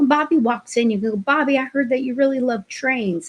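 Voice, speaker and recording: Here a woman is speaking. Her pace is moderate. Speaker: childcare trainer. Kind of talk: webinar training. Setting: online webinar.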